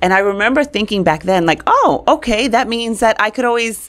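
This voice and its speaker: A woman's animated voice with an American accent and vocal fry, at a moderate pace over a quiet background. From New York, Brooklyn; New York. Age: 40s. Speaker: communications expert; podcast guest. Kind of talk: interview. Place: studio. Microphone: studio mic.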